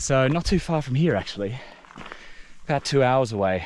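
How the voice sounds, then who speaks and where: With an Australian accent, a man with a fairly high voice speaks at a moderate pace amid noticeable background noise. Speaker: hiking vlogger. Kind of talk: casual vlog talk to camera. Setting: outdoors on a mountain hike.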